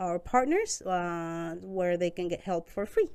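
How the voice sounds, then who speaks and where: A woman with a Spanish accent speaks at a fairly slow pace in a medium pitch. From Costa Rica. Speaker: newcomer support worker. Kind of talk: interview.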